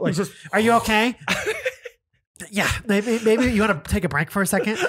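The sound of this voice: A put-on character voice, fairly high and nasal, at a moderate pace.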